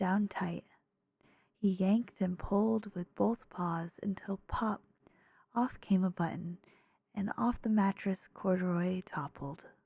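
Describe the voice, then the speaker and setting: The speaker whispers, soft-spoken, at a fairly slow pace. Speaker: ASMR creator. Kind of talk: children's picture book read aloud. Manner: soft-spoken whispers.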